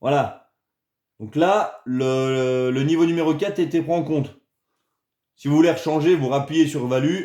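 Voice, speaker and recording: Speaking at a very slow pace, a man has a fairly high pitch and a dark, mellow tone. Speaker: RC hobby youtuber. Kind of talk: tutorial. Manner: casual, hesitant with many euh.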